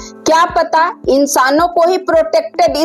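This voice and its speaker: Over music in the background, a woman speaks at an extremely high pitch. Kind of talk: comedic monologue to camera. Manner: playful, upbeat.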